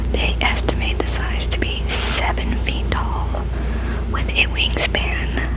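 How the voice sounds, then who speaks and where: Whispering, a woman speaks at a very slow pace. Background noise is noticeable. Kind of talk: ASMR reading of cryptozoology facts. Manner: whispered.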